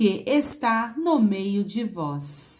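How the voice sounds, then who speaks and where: Breathing somewhat audibly, a woman speaks at a very slow pace, her fairly high pitch swinging very widely. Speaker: Bible reader. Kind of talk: Bible reading.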